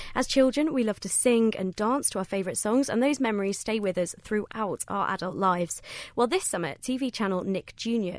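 A woman with an ordinary speaking voice talks at a fairly quick pace, her pitch fairly high and her intonation lively. The recording is very clean, with a silent background. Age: 20s. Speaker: radio presenter. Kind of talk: radio presenting. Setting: studio.

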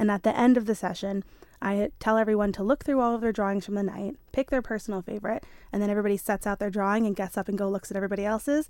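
On a very clean recording with a silent background, a woman with an American accent speaks at a very fast pace and medium pitch, her intonation fairly even. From New York. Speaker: drawing club organiser. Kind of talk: casual interview.

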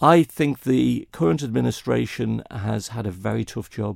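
This is a man speaking with a Manx accent. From Isle of Man. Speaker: election candidate. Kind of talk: interview.

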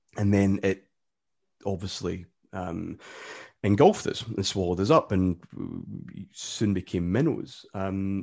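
With a Glaswegian accent, a man speaks at a fairly low pitch in a dark, mellow tone. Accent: Glaswegian Scottish. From Scotland, Glasgow area. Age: 40s. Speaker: football podcaster and author. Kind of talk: casual interview. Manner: halting, many repetitions and fillers.

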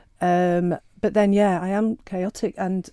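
In a very clean recording with a silent background, a woman with a Sheffield accent speaks at a medium pitch in a dark, mellow tone. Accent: Yorkshire (Sheffield). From northern England, Sheffield. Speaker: novelist. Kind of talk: interview. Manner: hesitant, many fillers.

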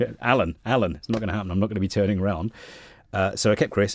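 A man with a southeast English accent speaks at a very fast pace with a fairly low pitch and fairly even intonation. The recording is very clean with a silent background. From Kent, southeast England. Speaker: radio station manager. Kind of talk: interview.

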